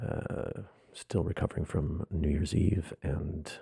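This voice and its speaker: A man speaks quietly at a very deep, low pitch with vocal fry and a dark, mellow tone, in a dry, close sound with no echo. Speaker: artist and theatre podcaster. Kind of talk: casual monologue podcast. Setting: home room, others asleep. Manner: speaking very quietly; low growl. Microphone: close to mic in echoey room.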